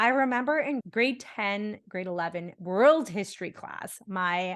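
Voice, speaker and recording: A woman's plain, everyday voice at medium pitch, lively in intonation, against a quiet background. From India, then Bahrain and Canada. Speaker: podcast host. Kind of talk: casual interview conversation.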